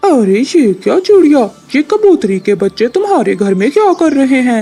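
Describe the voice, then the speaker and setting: A cartoonish character voice speaks at a moderate pace. Faint music plays in the background. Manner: bossy, threatening.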